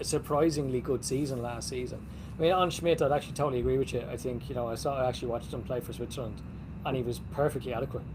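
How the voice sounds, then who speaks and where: This man talks at a very fast pace in a medium pitch. His intonation is fairly even, with vocal fry. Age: 40s. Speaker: football podcast host. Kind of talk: casual chat.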